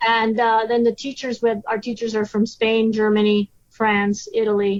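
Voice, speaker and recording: A woman in a Spanish accent, fairly high in pitch, flat and monotone, at a moderate pace. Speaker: science teacher. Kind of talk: podcast interview.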